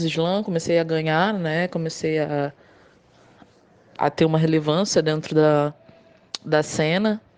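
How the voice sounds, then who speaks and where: A woman with a fairly low pitch talks fairly slowly, her intonation fairly even. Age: 30s. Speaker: poet and motorcycle courier. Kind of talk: interview.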